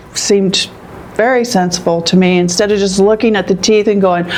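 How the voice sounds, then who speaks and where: With an American accent, a woman talks at a medium pitch in a monotone, flat intonation over noticeable background noise. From Kansas. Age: 60s. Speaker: patient, nurse anesthetist. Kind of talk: testimonial interview. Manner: hesitant, conversational with fillers.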